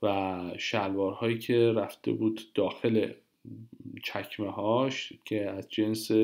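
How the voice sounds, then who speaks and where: A man's fairly low, monotone voice, very slow in pace, on a very clean recording with a silent background. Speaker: Italian language teacher. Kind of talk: tutorial.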